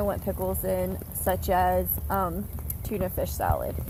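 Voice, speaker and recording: Soft-spoken delivery at a fairly slow pace, with audible room echo. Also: woman. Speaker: home gardener, channel owner. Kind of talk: casual garden tour video. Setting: outdoors in garden.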